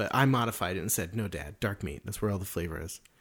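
Talking at a very fast pace with lively intonation and vocal fry, a man is heard on a very clean recording with a silent background. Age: 30s. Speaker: podcast co-host. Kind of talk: casual chat. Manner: animated.

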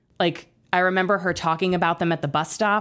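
Here is a woman with a plain, everyday voice. She talks at a fairly quick pace with fairly even intonation. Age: 30s. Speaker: podcaster guest. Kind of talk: casual chat.

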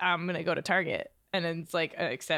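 A woman speaks with a bright, sharp tone. Her pitch is fairly low, with vocal fry. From New Hampshire. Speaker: podcast producer. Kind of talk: casual chat.

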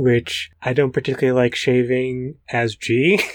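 A man's unremarkable speaking voice in an American accent, medium in pitch and moderate in pace. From US Northeast, Brooklyn. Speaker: podcast co-host. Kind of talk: casual chat.

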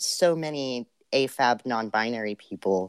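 A normal speaking voice at a fairly slow pace with ordinary pitch variation, in a very clean recording with a silent background and a dry, close sound with no echo. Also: man. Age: 20s. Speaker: video essayist. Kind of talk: casual chat.

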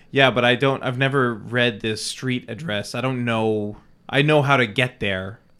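A man with a normal speaking voice talks at a medium pitch and moderate pace with fairly even intonation. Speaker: podcast co-host. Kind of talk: casual chat, improv game play.

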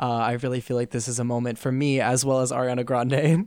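Monotone, flat delivery on a very clean recording with a silent background. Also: man. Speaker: student guest. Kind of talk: casual chat about pop music.

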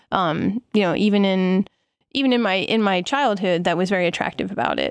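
With an American accent, a woman has an unremarkable speaking voice at a medium pitch. She talks fairly quickly, with ordinary pitch variation. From eastern Pennsylvania, US. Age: 40s. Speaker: cycling coach and former pro BMX racer. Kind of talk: casual interview.

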